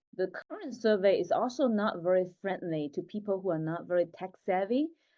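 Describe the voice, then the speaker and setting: The speaker has a Chinese accent. The intonation is lively. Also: woman. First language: Mandarin Chinese. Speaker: tech founder. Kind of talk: interview podcast.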